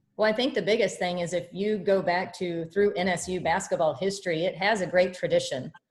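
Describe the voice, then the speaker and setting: A woman speaks with a Midwestern American accent at a moderate pace. Her pitch is medium, with ordinary pitch variation. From Kansas (Topeka). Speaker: college basketball head coach. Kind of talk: press conference. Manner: loud.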